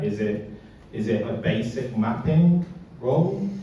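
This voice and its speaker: A man's pitch swings very widely. Noticeable background noise and audible room echo fill the recording. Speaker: service designer panelist. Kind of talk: panel Q&A discussion. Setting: meetup event with audience. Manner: mumbling.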